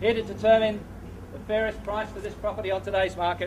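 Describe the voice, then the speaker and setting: Over noticeable background noise, a high-pitched man talks at a very fast pace in a monotone, flat intonation. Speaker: real estate auctioneer. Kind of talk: formal auction opening address. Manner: formal, clear, measured.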